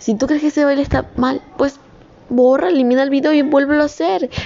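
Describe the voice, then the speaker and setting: Noticeable background noise sits behind a woman speaking. Her tone is animated and her pace moderate. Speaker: student vlogger. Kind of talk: motivational monologue. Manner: spontaneous, unscripted. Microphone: poor audio quality.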